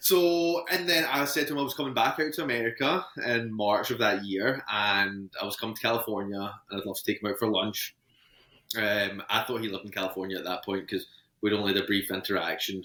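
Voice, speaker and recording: In a Scottish accent, a man talks at a fairly quick pace. His voice is fairly low, with lively intonation. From Scotland, Ayrshire. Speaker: podcast guest, engaged partner. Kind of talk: casual interview chat.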